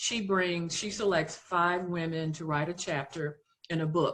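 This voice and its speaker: A woman's fairly low pitch, fairly even intonation and moderate pace over a quiet background. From US South, Louisiana. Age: 60s. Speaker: author and retired public health officer. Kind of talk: podcast interview.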